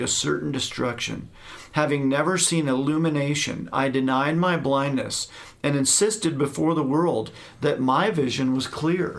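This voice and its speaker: A man speaks in a plain, everyday voice at a fairly high pitch. His pace is moderate. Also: very even loudness. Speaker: Baptist pastor and podcast co-host. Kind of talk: casual interview conversation.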